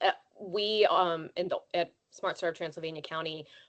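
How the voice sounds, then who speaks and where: In a plain, everyday voice, a woman with an American accent talks at a moderate pace, her fairly low pitch held in fairly even intonation. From western Maryland. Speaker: childcare nonprofit leader. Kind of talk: online presentation.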